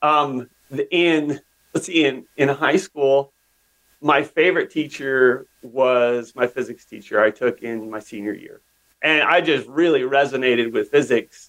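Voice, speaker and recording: In an ordinary speaking voice, a man with an American accent talks at a fairly slow pace, his pitch fairly high with ordinary variation. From US West, northeastern Oregon. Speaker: tech company CEO. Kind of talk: interview. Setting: podcast interview.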